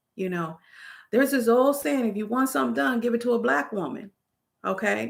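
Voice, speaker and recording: The voice carries vocal fry and very wide pitch swings. The pace is fairly quick. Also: woman. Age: 50s. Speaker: YouTuber. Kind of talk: live stream chat. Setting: live stream. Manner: loud; animated.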